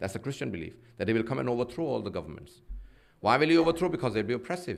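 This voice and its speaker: A man at medium pitch talks at a very fast pace with very wide pitch swings and vocal fry. Audible room echo surrounds his voice. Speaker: Islamic preacher. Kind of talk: sermon.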